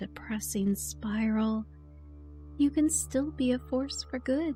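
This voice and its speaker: A soft-spoken woman talks at a fairly slow pace in a soothing, gentle tone, with music playing in the background. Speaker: voiceover artist / ASMR encouragement creator. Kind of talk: ASMR affirmation / comforting self-help talk. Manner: soft-spoken, soothing, gentle.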